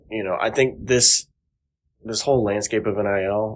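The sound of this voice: A man talks at a fairly slow pace, keeping his intonation fairly even.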